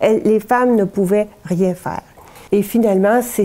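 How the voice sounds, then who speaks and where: This woman has a medium-pitched voice with a dark, mellow tone and fairly even intonation. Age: 70s. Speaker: historian, professor emerita. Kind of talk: interview answer.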